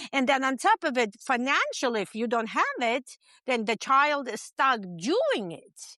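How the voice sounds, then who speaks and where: A raised, projected voice with lively intonation at a fairly slow pace, in a dry, close sound with no echo. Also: woman, high pitch for a woman. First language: not English. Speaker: podcast interview guest. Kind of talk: interview. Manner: halting.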